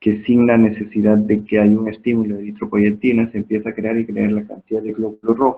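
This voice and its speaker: Monotone, flat intonation marks a man's fairly low voice. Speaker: medical lecturer. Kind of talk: lecture.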